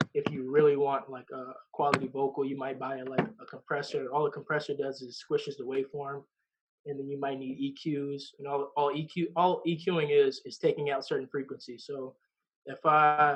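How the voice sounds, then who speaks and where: A man's fairly high voice, monotone and flat in intonation, at a moderate pace with big swings in loudness. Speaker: rapper. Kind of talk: casual chat. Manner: halting.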